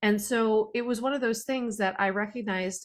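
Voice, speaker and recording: An ordinary speaking voice at a fairly quick pace with fairly even intonation, on a very clean recording with a silent background. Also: woman. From Canada. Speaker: podcast host. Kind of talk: interview conversation.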